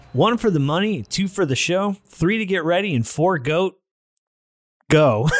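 A man with a high pitch speaks at a fairly slow pace with lively intonation. Long pauses come often. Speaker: podcast host. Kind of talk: casual comedy banter.

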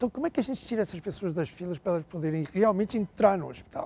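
A man talks at a very fast pace in a European Portuguese accent. His voice is high-pitched with a dark, mellow tone. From Portugal, raised in Angola. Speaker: health tech CEO. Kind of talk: interview. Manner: halting.

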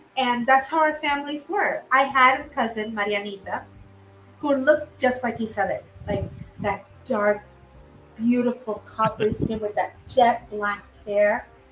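A woman's high-pitched voice, with ordinary pitch variation, a fairly slow pace and noticeable background noise. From Puerto Rico. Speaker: childhood friend of the host, fan. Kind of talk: casual chat.

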